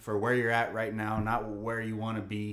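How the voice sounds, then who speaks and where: In a plain, everyday voice, a man speaks at a moderate pace. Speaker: podcast host and teacher. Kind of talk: casual chat. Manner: laid-back.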